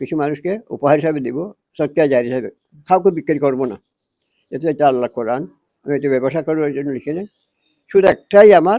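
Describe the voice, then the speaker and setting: The tone is dark and mellow, with ordinary pitch variation. The sound is dry and close, with no echo. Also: man, fairly high pitch for a man. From Bangladesh, Cox's Bazar. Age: 70s. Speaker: retired madrasa teacher. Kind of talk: interview.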